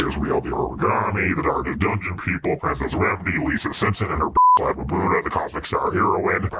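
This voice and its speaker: Someone does a put-on character voice at a fairly quick pace with hardly any pauses. Clear background noise sits behind it. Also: man. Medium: machinima. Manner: dramatic, deliberate.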